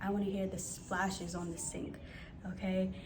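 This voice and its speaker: A woman with an American accent speaks in a medium pitch with monotone, flat intonation, amid noticeable background noise and audible room echo. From New York City (Bronx, Harlem). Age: young. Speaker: lifestyle coach. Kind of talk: personal advice vlog. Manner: slow, soft.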